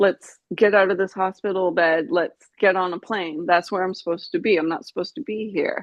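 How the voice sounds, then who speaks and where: A woman speaks in a normal speaking voice with a Canadian accent, at medium pitch with ordinary pitch variation. Her pace is fairly quick, with hardly any pauses. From Canada, British Columbia (Vancouver Island). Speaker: brain injury survivor. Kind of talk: interview testimony.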